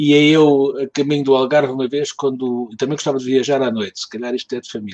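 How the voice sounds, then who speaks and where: Speaking in a Lisbon accent at a very fast pace, a man keeps a medium pitch and fairly even intonation. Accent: European Portuguese, Lisbon. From Lisbon, Portugal. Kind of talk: casual chat.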